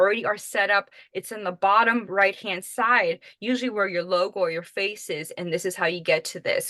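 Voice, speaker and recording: A loud voice with a bright, sharp tone and a Miami accent. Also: woman. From Miami, Florida. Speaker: social media marketing trainer. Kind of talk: webinar presentation.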